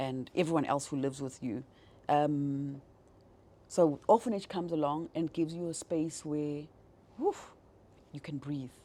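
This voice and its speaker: Her voice is very deep and low for a woman, with a dark, mellow tone and ordinary pitch variation. She keeps a moderate pace broken by long, frequent pauses. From South Africa, Johannesburg area. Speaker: business executive. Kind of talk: interview, personal life story. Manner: hesitant, many fillers.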